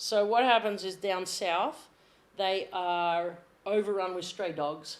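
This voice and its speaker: A woman talks in a medium pitch with a strong Australian accent. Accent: Australian, strong enough to be misheard. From Australia, Sydney. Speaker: athletic trainer. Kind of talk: casual chat.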